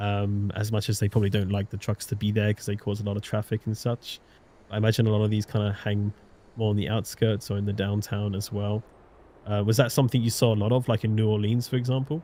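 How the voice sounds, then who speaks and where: Speaking at a very fast pace, a man with a dark, mellow tone keeps his fairly low pitch monotone and flat. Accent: British. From Britain. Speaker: live stream host. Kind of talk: live stream interview.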